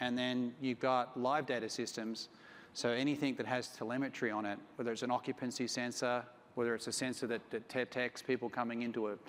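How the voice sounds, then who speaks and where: At a fairly quick pace, a man with an Australian accent speaks at a medium pitch in a monotone, flat intonation. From Australia, Sydney. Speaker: company CEO. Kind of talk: conference talk.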